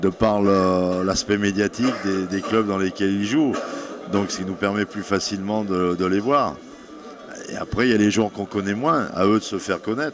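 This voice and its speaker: A man talks at a moderate pace while music is heard behind him. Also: fairly low pitch for a man, ordinary pitch variation. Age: 60s. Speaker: national football team coach. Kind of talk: interview.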